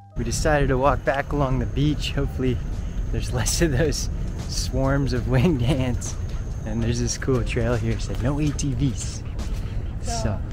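There is noticeable background noise as a man speaks at a moderate pace in a dry sound with no echo, leaving long, frequent pauses. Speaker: travel vlogger. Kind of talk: casual vlog chat. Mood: cheerful, excited. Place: street. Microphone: phone near.

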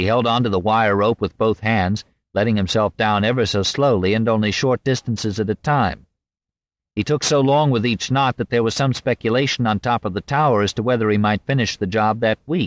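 Over a quiet background, a man with a normal speaking voice talks at a fairly quick pace and medium pitch with ordinary pitch variation. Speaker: audiobook narrator. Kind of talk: audiobook reading of narrative history, dramatic narration. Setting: studio. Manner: measured, formal; vivid, suspenseful storytelling.

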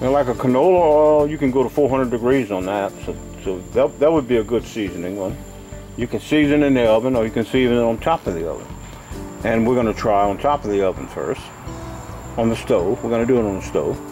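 With faint music in the background, a man talks at a very fast pace with ordinary pitch variation. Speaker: home repair video host. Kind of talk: tutorial. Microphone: phone near.

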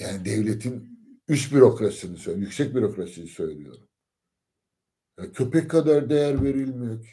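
A man's dark, mellow tone with vocal fry, very wide pitch swings, big swings in loudness and a fairly quick pace against a quiet background. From Turkey. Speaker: lecturer. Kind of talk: lecture. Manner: hesitant with many fillers. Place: home room. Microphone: phone near.

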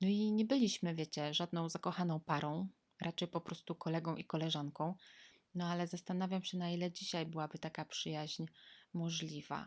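Against a quiet background, a woman with a fairly low voice speaks at a fairly quick pace with fairly even intonation, the sound dry and close with no echo. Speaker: vlogger. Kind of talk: personal storytelling monologue. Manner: casual, conversational.

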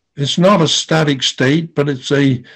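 A man talks with an American accent and ordinary pitch variation. The background is quiet. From Philadelphia area, USA; Pennsylvania. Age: 80s+. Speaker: Quaker peace activist and war tax resister. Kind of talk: personal memoir talk to an audience. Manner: slow, measured, with hesitations. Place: home room. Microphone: webcam.

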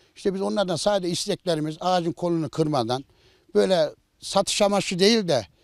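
A man's high-pitched voice at a fairly quick pace, dry and close with no echo, on a very clean recording with a silent background. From Central Anatolia, Ankara countryside. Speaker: village headman. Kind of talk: interview.

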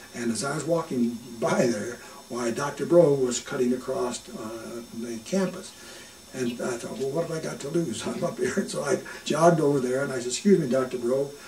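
A man speaks at a moderate pace and medium pitch with lively intonation, with audible room echo and light background noise. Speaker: oral history interviewee. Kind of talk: oral history interview answer. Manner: humorous, humble storytelling. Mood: warm, amused, smiling. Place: home room.

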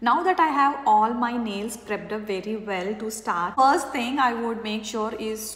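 There is audible room echo around a woman speaking at a fairly high pitch, her tone fairly bright and her pitch variation ordinary.

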